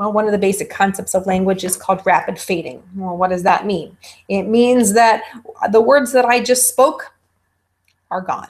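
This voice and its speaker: A woman with an ordinary speaking voice talks at a moderate pace and medium pitch, using ordinary pitch variation. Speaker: college instructor. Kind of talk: lecture.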